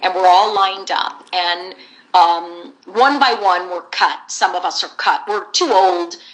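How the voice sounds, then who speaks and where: A woman speaks at a medium pitch with an American accent, her pitch varying in an ordinary way. She talks at a fairly slow pace over noticeable background noise. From US West Coast, San Jose, California. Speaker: voice actress. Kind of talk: interview. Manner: animated.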